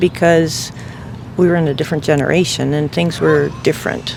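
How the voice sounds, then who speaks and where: Noticeable background noise sits under a woman's fairly low-pitched voice. She keeps a moderate pace and fairly even intonation. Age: 70s. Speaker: interviewee. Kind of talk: street interview answer.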